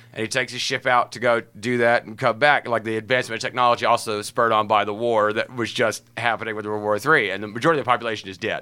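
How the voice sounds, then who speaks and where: A man with an American accent, medium pitch and a bright, sharp tone, talking very fast with hardly any pauses. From US South, Huntsville, Alabama. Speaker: comedian. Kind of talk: casual chat. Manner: animated.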